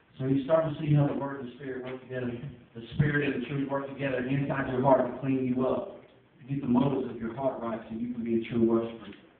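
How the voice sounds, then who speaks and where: A man talks at a very fast pace in a medium, monotone, flat voice. Room echo can be heard. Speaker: preacher. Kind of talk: sermon. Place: church. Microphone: camera far.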